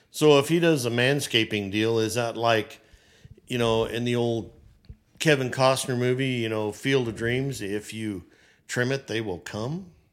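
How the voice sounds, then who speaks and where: A man with a medium-pitched, unremarkable speaking voice talks at a fairly slow pace, with ordinary pitch variation. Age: 60s. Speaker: business owner. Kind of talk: casual chat.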